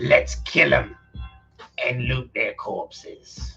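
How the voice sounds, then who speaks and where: A put-on character voice drags along at a very slow pace. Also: man. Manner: gruff, menacing.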